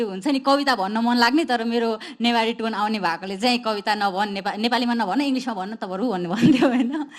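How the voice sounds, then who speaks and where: With noticeable background noise behind her, a woman speaks at a fairly high pitch and a moderate pace, her pitch varying in an ordinary way. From Nepal, Kathmandu valley, Newar community. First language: Newar (Nepal Bhasa). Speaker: rapper and poet. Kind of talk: artist talk.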